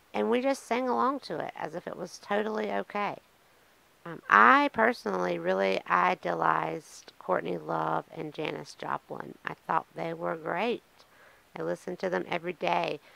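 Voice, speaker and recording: A woman with a Southern US accent at a moderate pace, in a dry sound with no echo. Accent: Southern American. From US South, eastern North Carolina. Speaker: podcaster in addiction recovery. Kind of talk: personal testimony monologue. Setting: on camera, solo video podcast. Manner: casual, with many fillers. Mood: reflective, candid. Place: home room. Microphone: studio mic.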